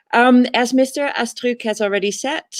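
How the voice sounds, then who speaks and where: In a Dutch accent, a woman speaks at a very slow pace, the sound dry and close with no echo. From Netherlands. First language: Dutch (speaking French). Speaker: teacher. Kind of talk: presentation. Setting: online fair presentation.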